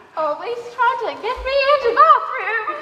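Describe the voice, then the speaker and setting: Someone puts on a squeaky character voice at an extremely high pitch. The delivery is fairly slow, with clear echo. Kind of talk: stage farce acting. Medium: stage play. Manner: stammering.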